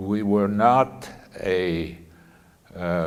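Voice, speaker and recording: This man has a fairly low pitch and fairly even intonation, with audible room echo around him. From Poland, Lodz. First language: Polish. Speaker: Holocaust survivor speaker. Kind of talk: talk to students. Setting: school audience. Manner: halting.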